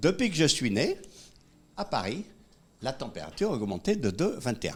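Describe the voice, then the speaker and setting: Fairly high for a man, his pitch swings very widely, with vocal fry at a moderate pace. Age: 70s. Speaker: economist and public speaker. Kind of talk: conference talk. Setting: room with live audience. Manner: animated.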